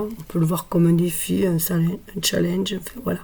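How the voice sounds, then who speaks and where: A soft-spoken woman talks at a moderate pace in a fairly low, somewhat breathy voice with a dark, mellow tone. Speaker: tarot card reader. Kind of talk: tarot reading. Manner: hesitant, with frequent fillers.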